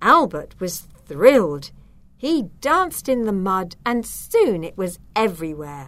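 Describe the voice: This is plain reading aloud. The text is read out plainly.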